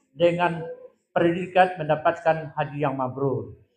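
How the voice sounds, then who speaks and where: A man talks loudly at a moderate pace in a high voice. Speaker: hajj pilgrimage guide. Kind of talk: lecture.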